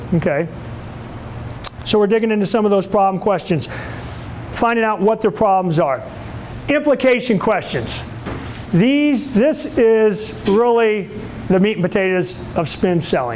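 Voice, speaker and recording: A man speaks at a fairly slow pace with long, frequent pauses, his high pitch moving in lively intonation while his loudness stays very even, over noticeable background noise and audible room echo. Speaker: sales trainer. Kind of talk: lecture. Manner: animated.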